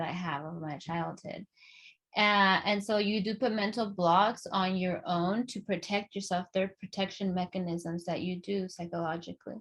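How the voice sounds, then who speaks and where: Her intonation fairly even, a woman with a Spanish accent talks at a moderate pace and medium pitch. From Los Angeles, US. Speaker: podcast host. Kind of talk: casual chat. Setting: video call. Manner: halting, many fillers.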